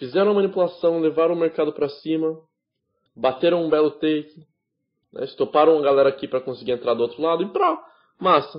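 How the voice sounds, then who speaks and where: Speaking at a fairly quick pace, a man with a fairly high pitch and ordinary pitch variation leaves long, frequent pauses. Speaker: trading instructor. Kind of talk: lecture.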